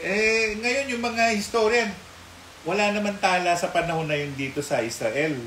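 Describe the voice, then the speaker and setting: Amid noticeable background noise and audible room echo, a man with a high pitch and lively intonation talks at a moderate pace. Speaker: mystic commentator. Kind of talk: casual chat. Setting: live stream.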